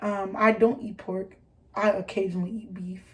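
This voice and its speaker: Speaking in an American accent, a woman keeps a fairly slow pace. Her intonation is fairly even. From US Midwest, Detroit. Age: 20s. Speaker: vlogger. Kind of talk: casual chat. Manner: halting, many fillers.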